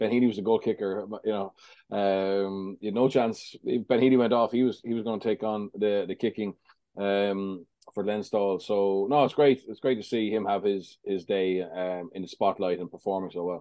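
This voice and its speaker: A man speaks in an Irish accent at a moderate pace. His pitch is fairly low and his intonation fairly even. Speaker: rugby pundit. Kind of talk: podcast analysis.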